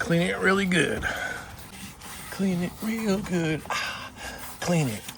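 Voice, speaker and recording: In a room with audible echo and noticeable background noise, a man with a high voice speaks at a very slow pace with ordinary pitch variation and long, frequent pauses. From Boston, US. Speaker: DIY tutorial creator, contractor. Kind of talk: tutorial.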